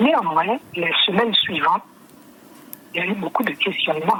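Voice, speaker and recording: Over noticeable background noise, a woman talks at a medium pitch with lively intonation. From French Guiana. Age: 60s. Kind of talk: testimony. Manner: halting, with repetitions and fillers.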